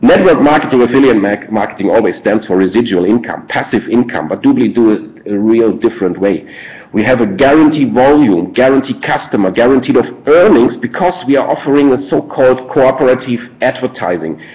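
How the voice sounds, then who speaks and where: With a German accent, a man talks at a fairly quick pace, his pitch medium. He hardly pauses, and background noise is noticeable. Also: lively intonation. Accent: German, non-native English. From Germany, Ruhr coal region. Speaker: network marketing presenter. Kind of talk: business presentation webinar. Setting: online webinar. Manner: halting, frequent fillers and repeats.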